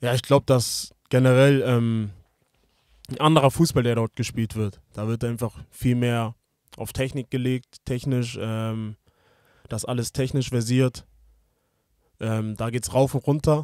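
Speech comes at a fairly slow pace with long, frequent pauses and fairly even intonation, in dry sound with no echo over a quiet background. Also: man. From Hamburg, northern Germany; Germany. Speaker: professional footballer; podcast guest. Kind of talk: interview. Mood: relaxed, reflective. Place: studio. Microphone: studio mic.

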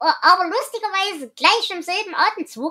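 A woman projects a raised voice with a bright, sharp tone at a moderate pace. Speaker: podcast host. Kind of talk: casual book discussion.

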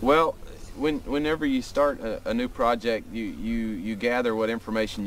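With light background noise and a dry sound free of echo, a man talks at a moderate pace with ordinary pitch variation. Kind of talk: interview answer. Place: waterside.

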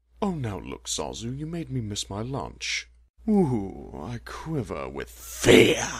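A man speaks in a put-on character voice, pitched fairly low. His pace is fairly slow. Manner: sardonic, drawling, mocking.

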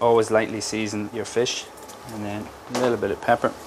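Fairly quick speech from a man amid noticeable background noise. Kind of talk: cooking tutorial, interview answer. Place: kitchen. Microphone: lapel.

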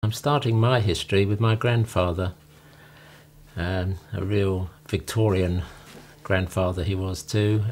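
A man's fairly low, somewhat breathy voice in an English accent, at a fairly slow pace with long, frequent pauses and ordinary pitch variation, over light background noise. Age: 70s. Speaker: retiree recounting his life story; interviewee. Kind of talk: memoir narration over photos. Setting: home. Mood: calm, reminiscing. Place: home room.

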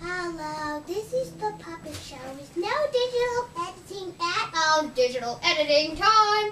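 A cartoonish character voice rings out at an extremely high pitch with hardly any pauses. The pace is moderate, and background noise is clear. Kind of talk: comedy puppet show performance.

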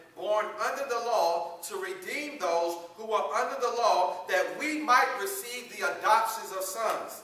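A man's raised, projected voice with audible room echo. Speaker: preacher. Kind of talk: sermon. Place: church. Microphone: camera far.

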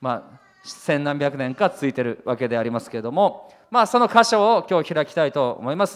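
Against a quiet background, this man talks fairly quickly. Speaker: pastor. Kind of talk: sermon. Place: church. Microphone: handheld.

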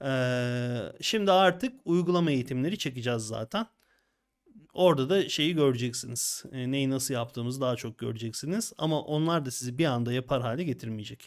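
Against a quiet background, a man talks at a moderate pace and medium pitch with lively intonation. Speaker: design software instructor. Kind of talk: casual chat. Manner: animated. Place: home room. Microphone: studio mic.

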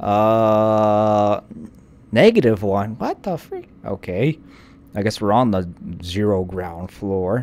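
Speaking at a very slow pace, the man has a fairly low pitch. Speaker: gaming video creator; gamer. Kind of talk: let's play commentary. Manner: animated. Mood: puzzled, mildly surprised. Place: home room. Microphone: studio mic.

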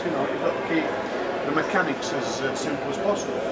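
A man talks at a moderate pace. Loud background noise is present. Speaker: interviewee. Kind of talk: interview answer. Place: hall.

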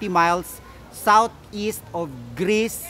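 With faint music in the background, a man speaks at a high pitch. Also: dry sound with no echo. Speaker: travel vlogger. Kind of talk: casual vlog chat. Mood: cheerful, laughing. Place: waterside. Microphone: phone near.

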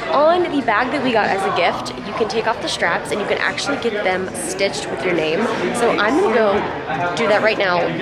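Crowd noise fills the background. A woman talks at a fairly quick pace. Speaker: vlogger. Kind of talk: casual vlog chat. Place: hall. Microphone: phone near.

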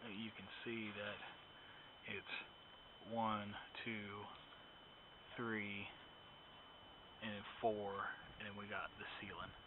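The speech is very slow, dry with no echo, and set against noticeable background noise. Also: man. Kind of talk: casual vlog narration. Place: factory. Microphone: phone near.

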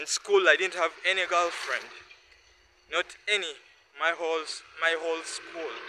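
A man with a high pitch speaks at a moderate pace in a bright, sharp tone with monotone, flat intonation. Long, frequent pauses break his speech, and there is light background noise. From Uganda. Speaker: vlogger. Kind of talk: casual monologue. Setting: outdoors. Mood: earnest, reflective. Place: street. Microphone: phone near.

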